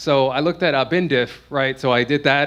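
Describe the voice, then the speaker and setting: A man talks at a fairly quick pace. His pitch is fairly high, with ordinary variation. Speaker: conference speaker, security researcher. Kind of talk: conference talk. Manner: fast; hesitant, many fillers.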